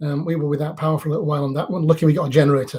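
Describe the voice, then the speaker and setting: A very fast, monotone male voice, fairly high in pitch, somewhat breathy, with a dark, mellow tone. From northern England, Leeds. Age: 50s. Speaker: theme park vlogger. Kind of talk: live stream Q&A. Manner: casual, conversational.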